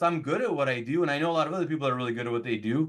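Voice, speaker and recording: This man's voice carries an animated tone. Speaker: real estate agent. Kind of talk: podcast interview.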